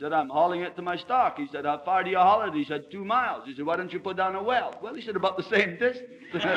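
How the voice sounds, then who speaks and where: The speech comes at a very fast pace with hardly any pauses and big swings in loudness over noticeable background noise. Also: man, high pitch for a man. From Scotland. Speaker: politician. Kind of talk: anecdote told in a speech.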